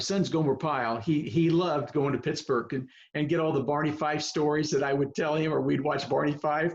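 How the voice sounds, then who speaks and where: Somewhat breathy, the voice runs at a fairly quick pace with hardly any pauses and fairly even intonation. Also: man. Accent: US Midwestern. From Kansas (Girard, southeast). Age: 70s. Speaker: veteran coach. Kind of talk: casual chat. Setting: video call.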